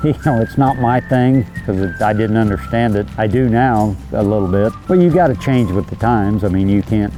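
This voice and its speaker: Music plays in the background. Over it, a man talks at a fairly low pitch. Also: moderate pace. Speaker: rancher. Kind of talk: interview answer.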